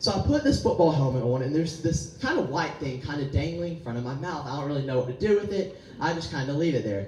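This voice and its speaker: A man with an American accent, fairly high-pitched, at a very fast pace with hardly any pauses, ordinary pitch variation and noticeable background noise. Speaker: pastor. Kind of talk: sermon. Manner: animated.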